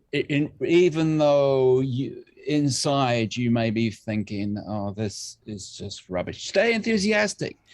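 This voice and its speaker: A man with an English accent at a very slow pace, very wide pitch swings and hardly any pauses. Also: medium pitch for a man. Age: 60s. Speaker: music producer and bassist. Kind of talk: casual interview chat. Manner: halting, many fillers.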